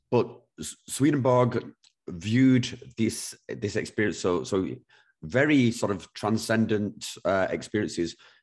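In a British accent, a man speaks with a fairly low pitch and lively intonation. The background is quiet. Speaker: podcast host. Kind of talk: casual interview conversation.

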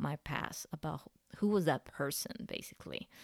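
A woman with a Spanish accent speaks at a fairly low pitch with ordinary pitch variation, in a dry, close sound with no echo on a very clean recording with a silent background. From Central America. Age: 30s. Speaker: podcast host. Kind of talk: personal monologue.

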